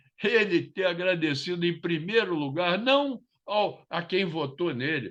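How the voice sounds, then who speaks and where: A man talks in a fairly high pitch, his intonation lively. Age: 80s+. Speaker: political commentator. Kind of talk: panel discussion. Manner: animated.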